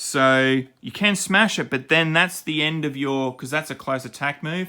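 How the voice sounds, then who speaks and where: In a very clean recording with a silent background, a man with an Australian accent speaks at a moderate pace in a bright, sharp tone with ordinary pitch variation. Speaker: miniature game designer and channel host. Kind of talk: tutorial. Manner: halting, many fillers and self-corrections; casual, impromptu.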